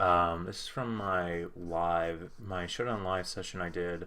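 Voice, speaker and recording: A man's very deep, low voice, with music in the background. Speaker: YouTuber drawing Pokemon. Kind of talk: casual talk while drawing live.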